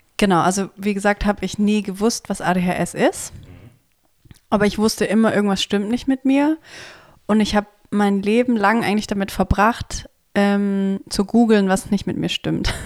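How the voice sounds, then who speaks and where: Her voice is medium-pitched and fairly even in intonation. This woman keeps a moderate pace broken by long, frequent pauses. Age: 30s. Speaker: podcast co-host. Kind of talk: casual chat. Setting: co-host's home, sitting on the floor.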